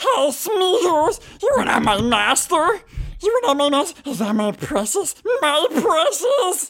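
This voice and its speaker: A put-on character voice with an extremely high pitch and very wide pitch swings moves at a fairly slow pace. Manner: obsessive, wheedling.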